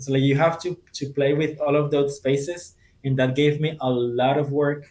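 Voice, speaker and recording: The voice carries a Spanish accent and moves at a moderate pace. Its intonation is monotone and flat. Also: man. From Colombia (Cartagena). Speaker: translator and community member. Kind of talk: interview conversation.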